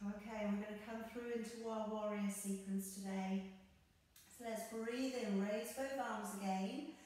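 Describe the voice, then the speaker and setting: Strong room echo surrounds a woman speaking in a flat, monotone way. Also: fairly slow pace. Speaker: yoga instructor. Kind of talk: guided yoga class, calm step-by-step cueing synced to breath. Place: home room. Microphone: camera far.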